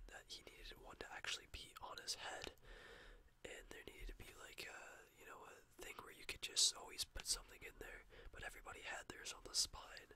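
Whispering at a fairly quick pace, a man lets his loudness swing widely. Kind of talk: casual vlog chat, retelling a story. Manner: soft ASMR storytelling voice. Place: home room. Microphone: webcam.

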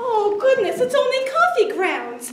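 Putting on a character voice, a woman speaks at an extremely high pitch with big pitch swings over faint background noise. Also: fairly slow pace.

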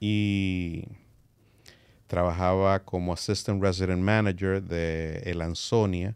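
In a dry sound with no echo, a man talks at a very slow pace, his very deep, low voice held to fairly even intonation. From Dominican Republic, San Francisco de Macorís; Dominican Republic. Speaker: music industry executive; podcast guest. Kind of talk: interview. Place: studio. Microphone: studio mic.

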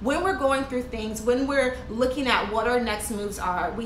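A woman speaks at a moderate pace with ordinary pitch variation. Audible room echo and light background noise are present. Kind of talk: motivational vlog talk. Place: home room. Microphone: phone near.

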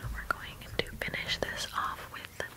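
A woman whispers, soft-spoken. She goes at a fairly slow pace. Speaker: ASMR creator. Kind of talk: soft ASMR whisper talk. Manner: soft close-mic ASMR whisper. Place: home room. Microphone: studio mic.

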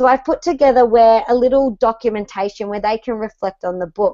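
A woman with an Australian accent and a fairly high pitch speaks over a quiet background. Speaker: primary school teacher and web-show host; primary school teacher, web-show host. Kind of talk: live web-show hosting. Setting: video call. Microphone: earbuds.

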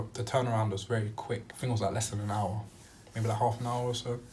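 Light background noise is present. A man speaks in a monotone, with flat intonation. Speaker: vlogger. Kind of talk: casual storytime vlog chat. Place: home room. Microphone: phone near.

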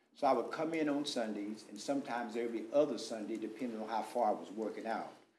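The speaker has an American accent. Audible room echo surrounds the voice. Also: man. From Texas. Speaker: pastor and contractor; pastor, contractor. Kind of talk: public comment at council meeting. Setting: city council chamber. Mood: earnest, explaining himself. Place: meeting room. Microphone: podium.

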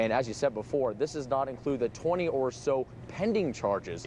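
A man at a fairly quick pace, dry sound with no echo and light background noise. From Canada. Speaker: news reporter. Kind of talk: live TV news reporting and reporter packages. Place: hall.

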